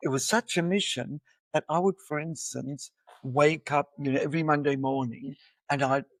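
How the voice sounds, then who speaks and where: Speaking at a fairly quick pace, a man with an Australian accent has a fairly high pitch. The recording is very clean, with a silent background and a dry, close sound with no echo. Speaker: educator and musician. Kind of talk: podcast interview.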